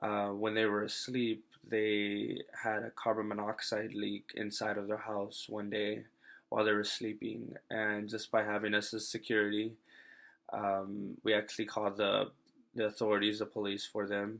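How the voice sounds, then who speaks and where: Over a silent background in a very clean recording, the speaker goes at a moderate pace with monotone, flat intonation. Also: man, fairly low pitch for a man. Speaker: university student. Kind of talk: class presentation. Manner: halting, stuttering.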